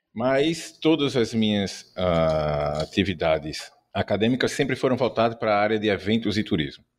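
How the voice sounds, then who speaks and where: A man with an ordinary speaking voice and a fairly low pitch talks at a fairly slow pace on a very clean recording with a silent background. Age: 50s. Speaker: ghost-tour guide, marketing professional. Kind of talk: interview.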